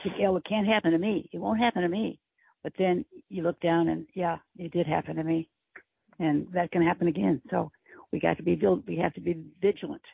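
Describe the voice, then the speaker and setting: A woman speaks with an American accent at a fairly quick pace. Her pitch is fairly low, with ordinary variation. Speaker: podcast co-host. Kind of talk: interview.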